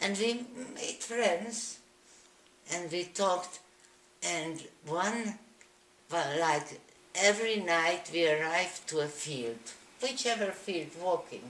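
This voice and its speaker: Very slow and broken by long, frequent pauses, a woman's fairly low voice carries lively intonation. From Slovakia. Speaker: Holocaust survivor. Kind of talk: interview answer.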